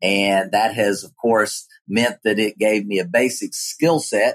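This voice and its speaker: A man speaks at a fairly slow pace with an Appalachian accent. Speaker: geology professor. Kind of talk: interview.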